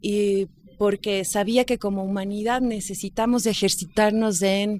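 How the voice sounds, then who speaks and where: A woman speaks in an ordinary speaking voice at medium pitch and a fairly slow pace. The recording is very clean with a silent background, dry and close with no echo. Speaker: radio host and journalist. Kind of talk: podcast interview answer, casual conversational talk.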